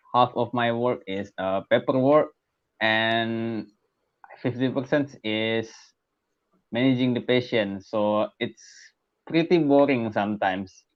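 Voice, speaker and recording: This man talks very slowly. He has a non-native accent. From Asia. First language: not English. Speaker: young doctor, caller. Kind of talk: call-in question.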